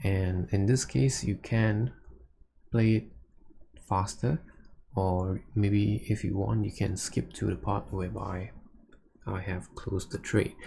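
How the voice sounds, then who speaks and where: Slow to a great degree and dotted with long, frequent pauses, a man's dark, mellow, somewhat breathy voice sits at a fairly low pitch with lively intonation. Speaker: futures trader streaming live trades. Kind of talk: live trading commentary.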